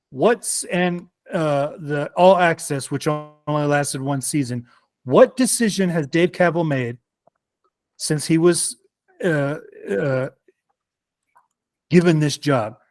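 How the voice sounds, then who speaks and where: With music in the background and a dry, close sound with no echo, a man talks at a very slow pace with long, frequent pauses. His voice sits at a fairly high pitch with ordinary pitch variation. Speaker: sports fan panelist. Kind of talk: casual chat. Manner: animated.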